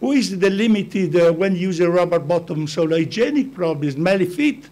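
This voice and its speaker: A man with an Italian accent talks fairly slowly in a high pitch. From Italy. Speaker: business founder. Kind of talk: talk to an audience. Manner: halting.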